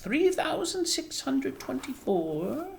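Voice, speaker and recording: A put-on character voice, female-sounding and high-pitched, at a fairly slow pace over clear background noise. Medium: read story. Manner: curt, dismissive.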